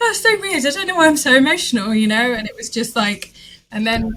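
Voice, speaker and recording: With a British accent, a woman speaks at a fairly high pitch. Her intonation is lively. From Britain. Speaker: quilting artist. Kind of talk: podcast interview.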